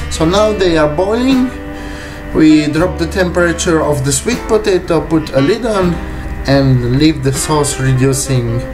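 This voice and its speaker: Clear music plays in the background as a man with a non-native accent speaks at a very slow pace. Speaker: private chef. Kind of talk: cooking tutorial talk to camera. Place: kitchen. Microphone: camera far.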